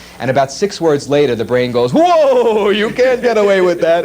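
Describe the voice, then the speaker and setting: A man with an American accent at a fairly quick pace amid noticeable background noise. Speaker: world's fastest talking man, voice actor. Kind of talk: casual interview answer. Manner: fast, chatty, humorous.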